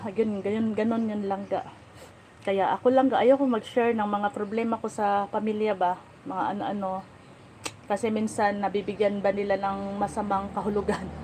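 A woman speaks at a moderate pace with monotone, flat intonation. Light background noise sits behind her. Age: 40s. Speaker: lifestyle vlogger. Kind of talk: livestream chat. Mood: reflective, personal. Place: home room. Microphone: phone near.

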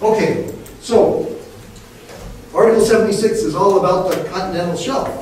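A man speaks high for a man, at a fairly slow pace with long, frequent pauses. Strong room echo and light background noise surround his voice. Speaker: professor and marine geophysicist. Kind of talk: lecture. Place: classroom. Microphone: camera far.

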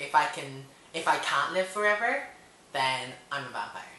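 A man with an American accent and lively intonation, at a moderate pace, with audible room echo. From Hong Kong. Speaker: vlogger. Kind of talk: casual talk to camera. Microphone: webcam.

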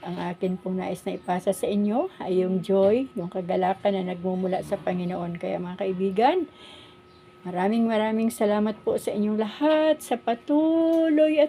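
A woman's fairly slow speech with lively intonation over noticeable background noise. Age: 60s. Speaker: vlogger. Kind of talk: casual vlog monologue. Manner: hesitant, frequent fillers.

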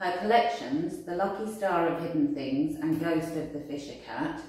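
A woman with a very deep, low voice talks at a moderate pace with lively intonation. The room echo is strong, while the background stays quiet. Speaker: arts centre staff. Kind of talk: event introduction. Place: home room.

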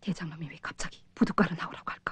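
Whispering at a very fast pace. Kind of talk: acted dialogue, muttering to self. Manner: suspicious muttered inner thought. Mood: puzzled, suspicious.

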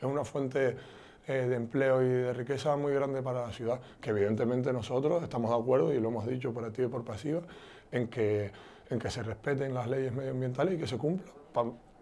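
Dark, mellow tone from a man with a Canarian accent, his intonation fairly even. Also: medium pitch for a man. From Canary Islands, Tenerife (Ofra, Santa Cruz); Canary Islands. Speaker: politician. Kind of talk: interview; interview answer. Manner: halting. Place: home room. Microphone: lapel.

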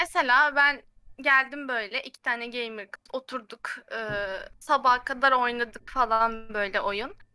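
A woman with a high pitch and a bright, sharp tone uses a raised, projected voice with lively intonation at a fairly slow pace. The background is quiet and the sound is dry with no echo. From Turkey. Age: 20s. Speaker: recent chemical engineering graduate; guest. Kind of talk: casual chat. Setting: video call. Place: home room. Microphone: video call.

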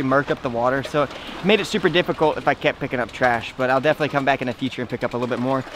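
A man talks at a very fast pace, the sound dry with no echo and noticeable background noise behind him. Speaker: treasure hunting vlogger. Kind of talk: casual vlog chat. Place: waterside.

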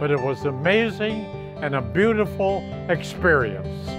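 Clear music plays behind a man who speaks very slowly in a high pitch with lively intonation. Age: 80s+. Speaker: home buyer client. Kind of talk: client testimonial. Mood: warm, grateful. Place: garden. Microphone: lapel.

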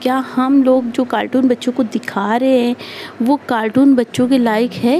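Here a woman talks at a fairly slow pace. Her pitch is high, and there is light background noise. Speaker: speaker. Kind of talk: advice talk to viewers. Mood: earnest, warning. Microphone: phone near.

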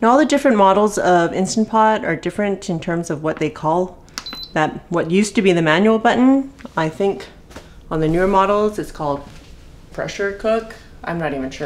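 A woman talks at a fairly quick pace with lively intonation over light background noise. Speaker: home cook host. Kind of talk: cooking tutorial. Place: kitchen.

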